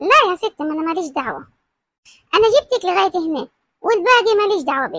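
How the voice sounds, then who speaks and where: Squeaky and extremely high, a woman's put-on character voice runs at a fairly quick pace, dry and close with no echo. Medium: audio drama. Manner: chatty, overfamiliar, calls everyone darling.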